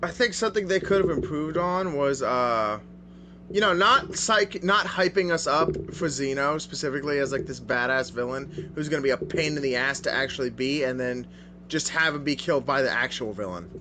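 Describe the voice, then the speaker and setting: Speaking at a fairly quick pace, a man uses lively intonation in an ordinary speaking voice. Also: fairly high pitch for a man. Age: 20s. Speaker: podcast co-host. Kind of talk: casual chat.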